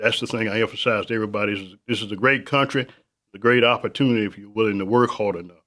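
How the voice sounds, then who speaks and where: A man with a Southern US accent talks at a very fast pace in a medium-pitched voice, his tone bright and sharp, his intonation fairly even and his loudness swinging widely, all on a very clean recording with a silent background. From South Carolina. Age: 70s. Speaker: business owner. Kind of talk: interview. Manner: halting.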